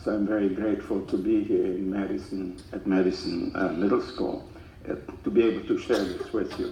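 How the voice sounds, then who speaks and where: Recorded with audible room echo, a man speaks at a fairly quick pace. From Czechoslovakia. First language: German/Czech. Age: 90s. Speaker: Holocaust survivor speaker. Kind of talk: testimony to school students. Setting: school assembly with audience. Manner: halting, many fillers.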